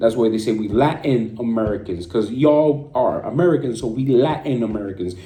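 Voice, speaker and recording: Noticeable background noise and audible room echo accompany a man speaking at a medium pitch and moderate pace. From Puerto Rico. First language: Spanish. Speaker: streamer. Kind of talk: rant. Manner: animated.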